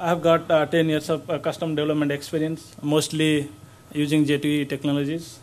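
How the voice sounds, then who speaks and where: At a moderate pace, a man speaks with fairly high pitch and monotone, flat intonation. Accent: Indian. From India, Odisha. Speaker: software developer, conference speaker. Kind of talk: conference talk. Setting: stage with audience.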